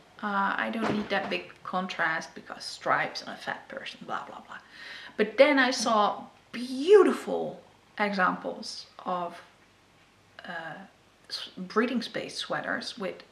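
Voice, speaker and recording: Speaking in a Dutch accent, a woman uses a medium pitch, lively intonation and vocal fry at a very slow pace. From Netherlands. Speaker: knitting podcaster. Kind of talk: casual talk to camera.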